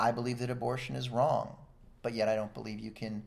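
A man speaks at a fairly quick pace with medium pitch and fairly even intonation. Room echo can be heard. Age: 40s. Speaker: retired coast guard veteran and activist. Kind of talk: casual interview chat. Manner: halting, frequent fillers and repetitions.

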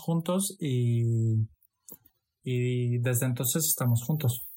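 A somewhat breathy man at a very slow pace, with ordinary pitch variation. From Portugal, Romanian-born. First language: Romanian and Hungarian (speaking Spanish). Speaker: former hospitality worker. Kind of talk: casual chat.

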